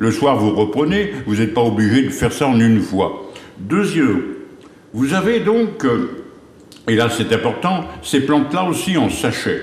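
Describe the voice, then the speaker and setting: A man with a fairly high pitch and very wide pitch swings speaks at a fairly slow pace and very even loudness, pausing long and often, with audible room echo and noticeable background noise. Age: 70s. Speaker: herbal remedies expert. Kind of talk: TV interview, health advice. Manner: hesitant, many fillers.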